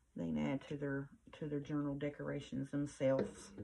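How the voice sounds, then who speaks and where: This woman's voice is somewhat breathy, with a dark, mellow tone and ordinary pitch variation. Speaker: crafting YouTuber. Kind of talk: crafting tutorial chat. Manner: mumbling; soft-spoken.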